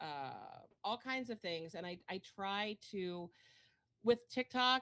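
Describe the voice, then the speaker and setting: A woman speaks in an animated tone with lively intonation, the sound dry and close with no echo. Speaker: Twitch streamer and fitness coach. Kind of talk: casual podcast interview. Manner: loud; talkative, animated.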